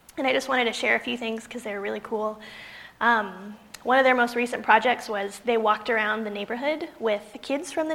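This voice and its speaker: Fairly high in pitch, a woman with an American accent talks at a fairly quick pace. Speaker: pastor. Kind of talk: sermon. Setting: church with congregation.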